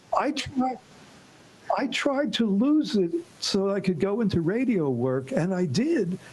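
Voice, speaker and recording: Someone with an American accent speaks at a fairly slow pace. Noticeable background noise runs underneath. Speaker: panel guest. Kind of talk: casual chat.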